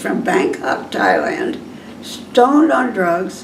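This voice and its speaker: Over noticeable background noise and audible room echo, a woman speaks at a fairly slow pace with very wide pitch swings. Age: 80s+. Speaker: retirement community resident. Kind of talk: casual interview chat. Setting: in her apartment. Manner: halting.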